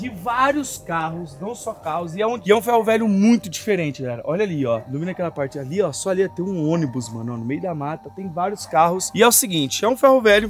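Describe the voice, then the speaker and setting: A man talks at a fairly quick pace with very wide pitch swings. Light background noise can be heard. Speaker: host. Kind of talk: casual vlog chat. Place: open country.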